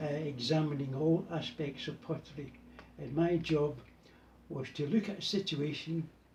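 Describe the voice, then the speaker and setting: A man speaks at a moderate pace in a Glasgow accent. His pitch sits fairly high, with ordinary variation. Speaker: button maker. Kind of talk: casual interview.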